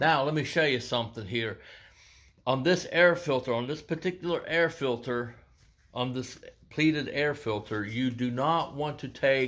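This man's pitch shifts in an ordinary way. He talks at a moderate speed. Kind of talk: tutorial. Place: garage. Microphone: phone near.

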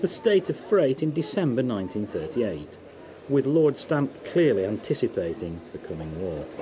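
In a British RP accent, a man of medium pitch speaks at a fairly slow pace, his pitch swinging very widely. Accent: British English, received-style. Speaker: documentary narrator. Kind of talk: scripted documentary narration. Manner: formal, measured, authoritative.

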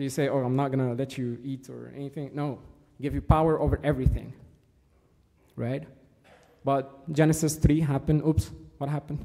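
Over a quiet background, a man with a dark, mellow tone talks at a fairly quick pace in monotone, flat intonation, with big swings in loudness and long, frequent pauses. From Egypt. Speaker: church servant giving a talk. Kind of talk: sermon. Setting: church. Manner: halting, many fillers. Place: church.

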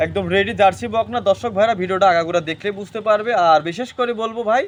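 This man has a high voice with ordinary pitch variation. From Bangladesh, Pabna (Ishwardi). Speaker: dairy farmer and cattle seller. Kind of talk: sales pitch.

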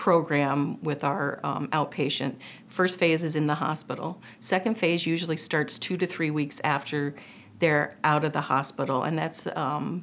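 A woman's very deep, low voice at a moderate pace, with light background noise. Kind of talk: interview answer. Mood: calm, explanatory.

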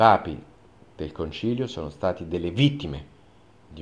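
A man speaks with vocal fry at a very deep, low pitch. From Italy. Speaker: journalist. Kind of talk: open video appeal. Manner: formal. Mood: earnest, calm, persuasive. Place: studio.

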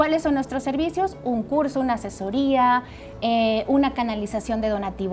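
Clear music plays in the background as a woman speaks at a high pitch. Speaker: guest. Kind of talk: interview answer. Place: studio. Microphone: lapel.

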